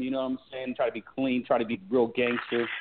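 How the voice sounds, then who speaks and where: A man with a medium-pitched voice speaks in an American accent. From California. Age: 30s. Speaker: army veteran and shoe company founder. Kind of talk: interview.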